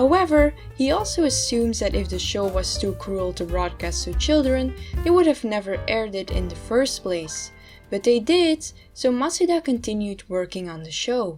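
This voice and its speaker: A woman with a non-native accent over music in the background. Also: moderate pace. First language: not English. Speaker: video essayist. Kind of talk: video essay narration. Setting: low-quality home microphone.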